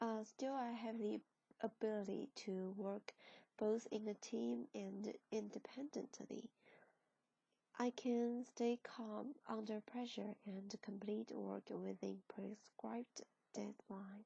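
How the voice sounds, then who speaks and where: Very slowly and with a fairly high pitch, a woman speaks in a Chinese accent with a flat, monotone delivery. Her tone is dark and mellow and somewhat breathy. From China. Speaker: translation student. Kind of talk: class presentation. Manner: halting.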